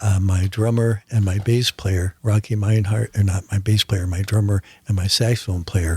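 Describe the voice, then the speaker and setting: A somewhat breathy man speaks at a fairly slow pace and fairly low pitch, with fairly even intonation and a dry, close sound with no echo. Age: 70s. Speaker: photographer and musician. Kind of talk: radio interview. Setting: radio studio. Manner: halting.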